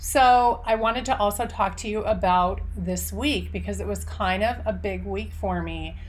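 In a room with audible echo, a woman speaks at a moderate pace with hardly any pauses. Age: 40s. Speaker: podcast host. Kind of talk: casual interview.

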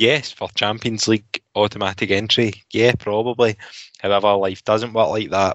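With a Glasgow accent, a man speaks at a moderate pace and fairly low pitch. His intonation is monotone and flat. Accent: Scottish (Glasgow area). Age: 30s. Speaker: football fan pundit. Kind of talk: casual chat.

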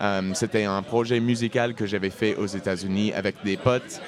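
Against crowd noise in the background, a man with an English accent speaks at a fairly slow pace, fairly low in pitch with ordinary pitch variation. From US Midwest (Indiana). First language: English (speaking French). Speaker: singer-songwriter. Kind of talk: casual interview chat. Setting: pub table.

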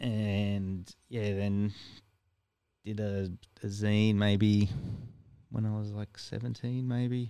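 With an Australian accent, a man talks at a very slow pace and a fairly low pitch, leaving long, frequent pauses. His intonation is fairly even and his tone dark and mellow. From Ipswich, Queensland, Australia. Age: 40s. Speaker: record store owner and musician. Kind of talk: casual chat.

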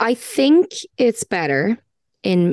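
Against a quiet background, a woman with an Irish accent is heard in a dry, close sound with no echo. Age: 30s. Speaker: podcast guest. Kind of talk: casual chat.

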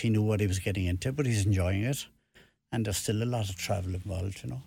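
In a Cork accent, a man talks at a fairly quick pace with a fairly low, somewhat breathy voice on a very clean recording with a silent background. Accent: Cork Irish. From Ireland, Cork. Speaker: retired football referee and author. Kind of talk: radio interview. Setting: radio studio.

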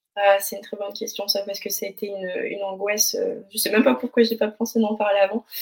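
A woman rattles along at a very fast pace with hardly any pauses, her medium pitch held in fairly even intonation while her loudness shifts in big swings. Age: 20s. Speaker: leukemia survivor, preschool teacher. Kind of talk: testimony.

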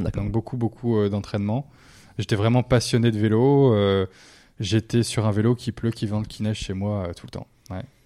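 A dark, mellow voice speaks at a moderate pace in monotone, flat intonation, with long, frequent pauses. The recording is very clean with a silent background, and the sound is dry and close with no echo. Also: man, fairly low pitch for a man. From northern France. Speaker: former motocross rider and athlete. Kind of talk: interview.

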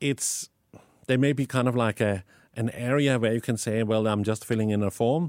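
Recorded very cleanly with a silent background and a dry, close sound with no echo, a man speaks with a Danish accent. His medium pitch, moderate pace and very even loudness hold throughout. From Denmark. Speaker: tech company founder. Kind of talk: interview. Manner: animated, passionate; halting with many fillers.

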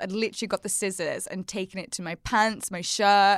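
In a Scouse accent, a woman talks at a moderate pace and medium pitch with fairly even intonation, on a very clean recording with a silent background. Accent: Wirral Scouse, northwest English. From the Wirral, northwest England. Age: 30s. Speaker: fashion and beauty blogger, YouTuber, podcast host. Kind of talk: casual interview chat.

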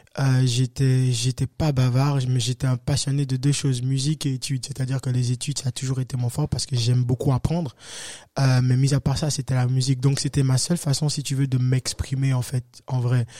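A man's dark, mellow, somewhat breathy voice at medium pitch, monotone and flat, fairly quick, with a dry, close sound and no echo. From Benin, West Africa. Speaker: afro-pop singer. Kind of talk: interview.

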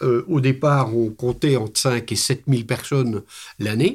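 Fairly even intonation from a man at a medium pitch, in a very clean recording against a silent background. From Belgium. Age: 60s. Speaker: hiking club president. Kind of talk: interview. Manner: hesitant, many fillers.

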